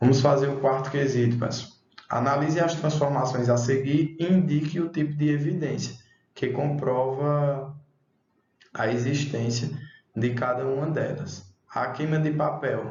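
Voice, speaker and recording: A man's fairly high, somewhat breathy voice at a fairly slow pace, with fairly even intonation and audible room echo. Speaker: schoolteacher. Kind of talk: online class lesson.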